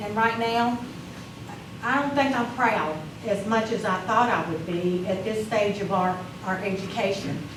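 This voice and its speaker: A woman with a fairly high pitch speaks amid noticeable background noise and audible room echo. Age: 60s. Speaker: school board member. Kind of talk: board meeting remarks. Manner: emotional, halting.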